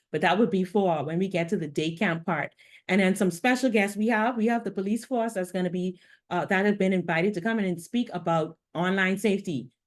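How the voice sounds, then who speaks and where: A woman's medium-pitched voice at a fairly quick pace, with ordinary pitch variation over a quiet background. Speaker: youth program organizer. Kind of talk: live stream Q&A. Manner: fast.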